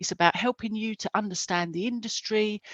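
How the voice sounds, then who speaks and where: A woman with an Essex accent talks at a moderate pace, the sound dry and close with no echo. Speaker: careers event host. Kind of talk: live webinar presenting. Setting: video call.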